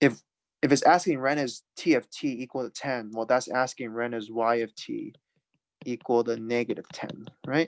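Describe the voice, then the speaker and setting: A man talks at a moderate pace and medium pitch with fairly even intonation, in a normal speaking voice. The sound is dry and close, with no echo. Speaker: math teacher. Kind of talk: lecture.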